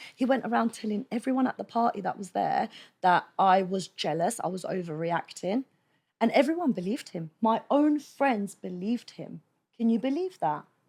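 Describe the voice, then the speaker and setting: A woman speaks loudly in an animated tone at a fairly high pitch. Her voice makes very wide pitch swings. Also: moderate pace. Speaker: podcast guest. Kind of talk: casual chat.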